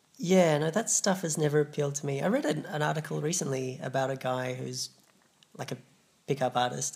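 A man with an Australian accent, fairly high pitch, a somewhat breathy sound and a fairly quick pace. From Australia, Adelaide. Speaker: comedian. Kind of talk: casual chat.

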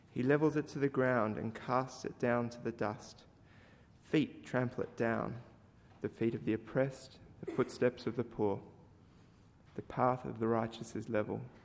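The voice carries vocal fry and fairly even intonation. It moves at a moderate pace with long, frequent pauses. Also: man, medium pitch for a man. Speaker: scripture reader. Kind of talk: reading aloud. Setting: church.

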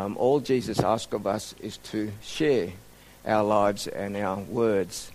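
A man with an Australian accent talks at a very slow pace in a fairly low pitch with ordinary pitch variation, and audible room echo surrounds him. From Sydney, Australia (emigrated from Indonesia at 10). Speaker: mission organization director and medical doctor. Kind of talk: sermon-style talk to a church group.

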